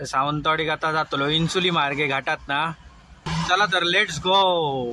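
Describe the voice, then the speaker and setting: Bright, sharp-toned male voice, fairly high in pitch. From Konkan, Maharashtra. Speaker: truck driver. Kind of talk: casual vlog narration while driving.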